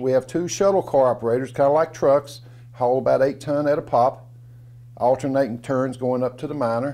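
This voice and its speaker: A man talks at a fairly quick pace with an Appalachian accent. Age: 60s. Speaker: storyteller. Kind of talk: storytelling performance. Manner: folksy, conversational.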